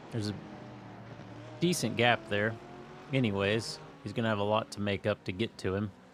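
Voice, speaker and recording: Speaking with a Kansas accent, a man leaves long, frequent pauses while his pitch varies in an ordinary way. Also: fairly low pitch for a man, fairly quick pace. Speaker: sim racing commentator. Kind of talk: live commentary. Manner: casual, hesitant.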